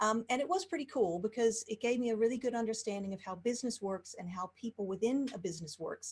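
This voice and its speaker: A fairly high, somewhat breathy woman's voice with an American accent, very fast and with hardly any pauses, with lively intonation. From Texas, Houston. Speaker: life coach. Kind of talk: interview. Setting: video call.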